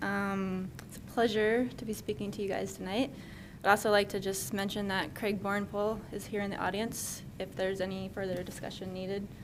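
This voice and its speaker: A soft-spoken woman at a medium pitch talks at a moderate pace with monotone, flat intonation and audible room echo. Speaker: city environmental specialist. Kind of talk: staff presentation.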